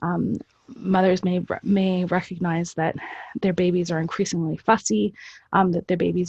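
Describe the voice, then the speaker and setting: Against a quiet background with a dry, close sound and no echo, a woman with a fairly low pitch speaks somewhat breathily at a moderate pace with fairly even intonation. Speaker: lactation specialist presenter. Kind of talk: webinar presentation. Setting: online webinar. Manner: hesitant, many fillers.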